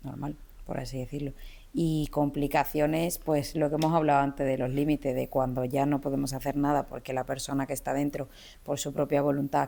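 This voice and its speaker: Over a silent background in a very clean recording, a woman speaks at a moderate pace in a calm tone, her very deep, low pitch dark and mellow and her intonation monotone and flat. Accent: Andalusian. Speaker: criminologist. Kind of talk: interview.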